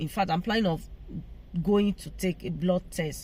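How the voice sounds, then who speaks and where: Somewhat breathy and fairly low in pitch, a woman speaks with ordinary pitch variation. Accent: non-native. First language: not English. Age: 40s. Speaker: vlogger. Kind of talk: casual vlog talk. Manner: halting.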